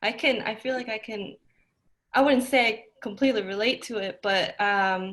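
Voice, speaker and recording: A woman's fairly high voice with a Spanish accent, fairly slow and fairly even in intonation, on a very clean recording with a silent background. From US, Mexican heritage. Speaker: podcast host. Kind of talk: interview conversation.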